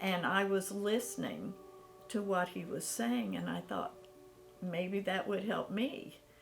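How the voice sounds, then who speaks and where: Words come at a very slow pace while music plays in the background. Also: woman. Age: 70s. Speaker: patient. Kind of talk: testimony.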